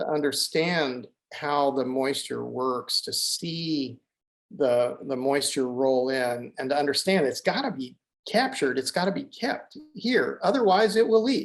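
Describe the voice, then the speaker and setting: Talking at a fairly slow pace, a man with a fairly high pitch sounds animated, his intonation lively. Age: 60s. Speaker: ecosystem restoration advocate. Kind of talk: conversational interview. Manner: animated, repetitive false starts.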